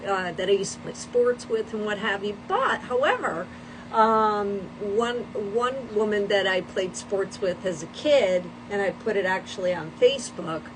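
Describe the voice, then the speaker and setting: A woman speaks at a moderate pace with a medium pitch and fairly even intonation. Noticeable background noise runs behind her. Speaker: livestream host. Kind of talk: casual chat. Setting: livestream.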